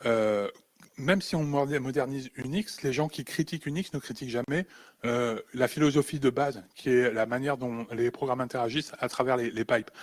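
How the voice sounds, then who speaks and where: A man speaks at a medium pitch with ordinary pitch variation. The sound is dry and close with no echo, on a very clean recording with a silent background. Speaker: conference speaker on low-tech computing. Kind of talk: conference talk. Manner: halting, many repetitions.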